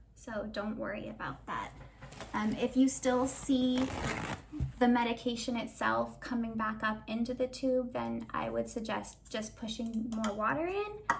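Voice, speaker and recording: Noticeable background noise and audible room echo accompany a woman talking at a fairly slow pace. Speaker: video creator sharing feeding tube tips. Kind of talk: tutorial.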